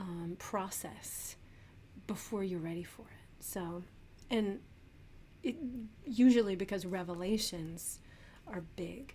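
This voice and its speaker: A woman of medium pitch and dark, mellow tone speaks at a very slow pace with long, frequent pauses, ordinary pitch variation and big swings in loudness, in audible room echo. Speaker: tarot reader. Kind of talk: tarot reading monologue. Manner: hesitant with many fillers.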